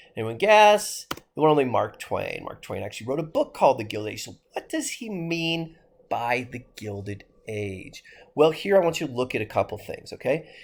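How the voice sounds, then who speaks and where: Delivered at a moderate pace, the speech sounds animated, with very wide pitch swings and big swings in loudness. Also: man. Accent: American. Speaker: history teacher. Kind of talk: lecture.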